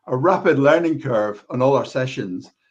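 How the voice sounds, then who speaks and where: A man with a normal speaking voice talks at a moderate pace. His pitch is fairly high and his intonation lively. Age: 60s. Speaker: computer science educator and coding club volunteer. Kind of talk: panel discussion. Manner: repetitive restarts.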